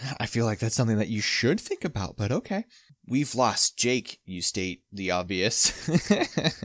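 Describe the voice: The text is read aloud plainly. Behind it, the background stays quiet.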